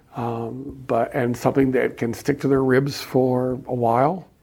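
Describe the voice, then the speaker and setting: His tone is dark and mellow. The man speaks at a medium pitch with fairly even intonation. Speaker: liturgical composer. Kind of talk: interview. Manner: halting.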